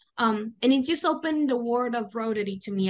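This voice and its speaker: The speaker talks at a fairly quick pace with a Venezuelan accent. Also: woman. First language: Spanish. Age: 20s. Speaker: student and youth volunteer. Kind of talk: interview conversation.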